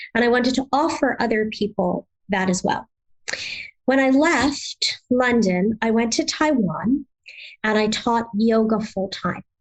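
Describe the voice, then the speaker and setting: A woman's fairly high-pitched, normal speaking voice at a fairly slow pace, with ordinary pitch variation, very even loudness and a dry, close sound with no echo. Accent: American. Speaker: yoga therapy trainer. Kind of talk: interview. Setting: podcast interview.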